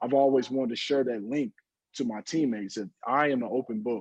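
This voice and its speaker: A man's voice with a dark, mellow tone and ordinary pitch variation comes through dry and close with no echo. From Louisville, Kentucky. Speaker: professional basketball player. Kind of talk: casual chat.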